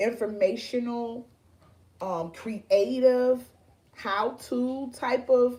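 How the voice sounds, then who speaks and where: A woman's high-pitched voice with a dark, mellow tone. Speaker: online show host. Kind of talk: casual talk to camera. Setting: video stream. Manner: halting, repeats words.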